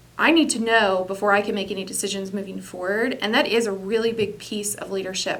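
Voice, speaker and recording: With audible room echo, a woman speaks at a fairly quick pace at a fairly high pitch with fairly even intonation. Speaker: business executive. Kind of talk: interview. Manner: loud.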